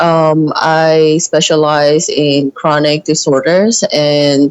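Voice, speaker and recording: This woman speaks at a very deep, low pitch. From Latin America (born Dominican Republic). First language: Japanese and Mandarin. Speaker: physician, podcast guest. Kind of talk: interview conversation.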